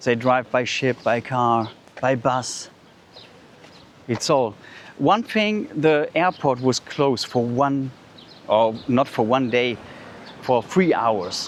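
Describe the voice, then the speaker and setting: Speaking with a German accent at a very slow pace, a man keeps a medium pitch with ordinary pitch variation amid noticeable background noise. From Germany. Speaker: vlogger. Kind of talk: walking vlog. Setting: outdoors. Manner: halting.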